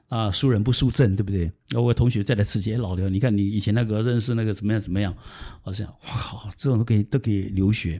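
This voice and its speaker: A man's fairly low, somewhat breathy voice with a dark, mellow tone, fairly even intonation and a very fast pace. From southern Taiwan. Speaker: consultant. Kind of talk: interview. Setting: in-person studio recording. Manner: halting.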